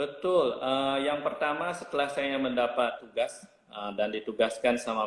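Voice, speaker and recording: Noticeable background noise behind a man at a medium speed. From Bali, Indonesia. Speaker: hotel general manager. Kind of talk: interview.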